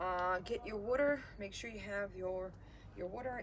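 A woman speaking at a fairly slow pace over light background noise. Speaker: fitness instructor. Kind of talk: live-streamed workout instruction. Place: garden. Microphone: camera far.

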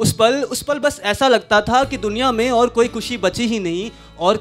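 Clear background music behind a male speaker. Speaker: spoken word poet. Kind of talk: live poetry performance. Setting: live open-mic event. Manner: emotional, with repeated phrases. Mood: wistful, emotional. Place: stage. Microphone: handheld.

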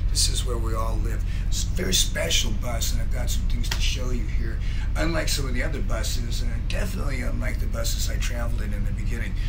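A man speaks very rapidly while music plays in the background. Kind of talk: casual vlog chat. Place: bus.

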